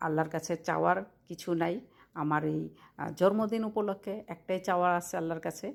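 In a very clean recording with a silent background, a woman speaks in a fairly low voice with fairly even intonation. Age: 40s. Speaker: vlogger. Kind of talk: personal vlog monologue.

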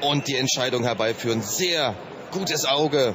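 There is noticeable background noise as a man speaks in a fairly high voice. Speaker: boxing commentator. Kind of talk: live boxing commentary, excited blow-by-blow call of the fight. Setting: boxing broadcast over ringside footage. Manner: urgent, punchy short exclamations.

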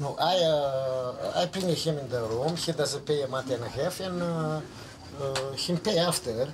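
The speech moves at a fairly slow pace. There is noticeable background noise. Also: man, fairly high pitch for a man, ordinary pitch variation. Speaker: assault victim. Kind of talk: police statement. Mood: shaken, hesitant. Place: home room.

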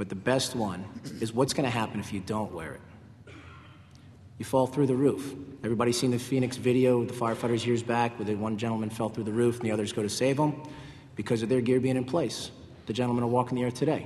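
A man at a very fast pace with fairly even intonation, over light background noise. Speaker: firefighter. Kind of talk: panel discussion. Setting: stage with audience. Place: hall. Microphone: podium.

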